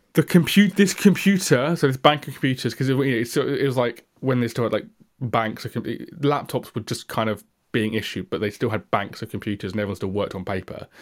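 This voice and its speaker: A man's medium-pitched voice with an English accent and lively intonation, on a very clean recording with a silent background. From England. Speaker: tech podcast co-host. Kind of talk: casual chat.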